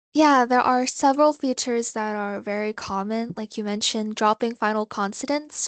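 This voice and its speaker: Against a quiet background, a woman with a Thai accent speaks at a fairly high pitch with fairly even intonation, the sound dry and close with no echo. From Thailand. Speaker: interviewee, international student. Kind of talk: interview.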